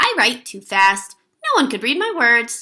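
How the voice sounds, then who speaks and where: A woman puts on a character voice pitched high. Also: moderate pace. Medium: read story.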